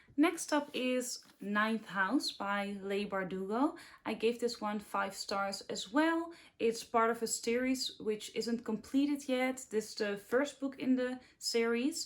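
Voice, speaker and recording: A woman at a very slow pace, fairly high in pitch with ordinary pitch variation and a Dutch accent. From Netherlands. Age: 20s. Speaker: book youtuber. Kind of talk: casual chat.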